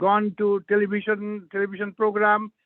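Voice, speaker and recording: With an Indian accent, a man talks at a moderate pace in a high-pitched voice. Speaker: author and mental health professional. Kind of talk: interview.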